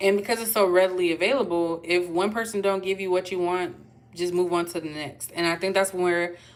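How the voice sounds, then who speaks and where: A woman talks at a fairly quick pace in an ordinary speaking voice. Her pitch sits in the medium range and her intonation is fairly even. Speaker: tarot reader. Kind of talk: tarot reading monologue. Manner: casual, chatty.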